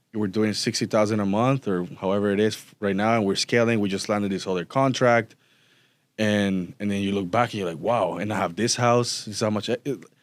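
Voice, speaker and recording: Intonation remains fairly even. Both the recording and its silent background are very clean. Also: man, fairly low pitch for a man, fairly quick pace. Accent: Spanish. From Costa Rica. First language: Spanish. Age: 30s. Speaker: business owner. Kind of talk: interview.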